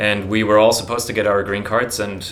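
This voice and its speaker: Music plays in the background and room echo is audible as a man with a German accent talks at a fairly low pitch. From Germany. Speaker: YouTuber on personal finance. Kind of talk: casual vlog monologue. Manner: halting, many fillers.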